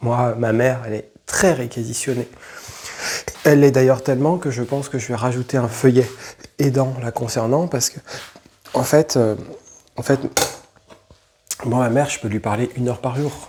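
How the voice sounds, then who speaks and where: With fairly even intonation, a man talks at a moderate pace and medium pitch. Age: 40s. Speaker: YouTuber. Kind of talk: personal testimony. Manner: halting, many fillers and repetitions.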